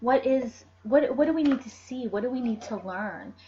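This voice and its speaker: Noticeable background noise is present throughout. The woman's pitch shows ordinary variation. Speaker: tarot and oracle card reader. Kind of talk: oracle card reading video. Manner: fast; animated.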